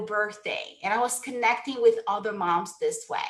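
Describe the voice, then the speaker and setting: A woman with a Brazilian Portuguese accent at a fairly high pitch, moderate pace and fairly even intonation, noticeable background noise behind her. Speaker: sales coach. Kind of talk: webinar talk.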